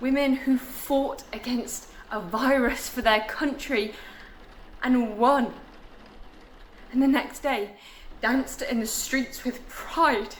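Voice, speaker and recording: A woman speaks with a high pitch and fairly even intonation. Her pace is very slow, with long, frequent pauses, and there is noticeable background noise. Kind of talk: spoken word performance.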